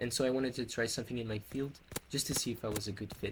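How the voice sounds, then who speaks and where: A man's medium-pitched voice, very fast and fairly even in intonation, over noticeable background noise. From Portugal. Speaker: hospitality worker and vlogger. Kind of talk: personal vlog storytelling.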